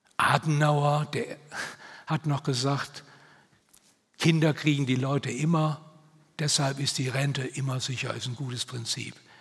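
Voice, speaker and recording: With fairly even intonation, a man speaks somewhat breathy and fairly high in pitch, at a fairly slow pace with long, frequent pauses. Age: 70s. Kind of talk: talk at church event.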